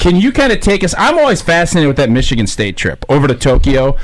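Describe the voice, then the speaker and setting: Against noticeable background noise, a man with a fairly high pitch talks at a fairly quick pace. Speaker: radio host and former football player. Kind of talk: casual radio panel chat.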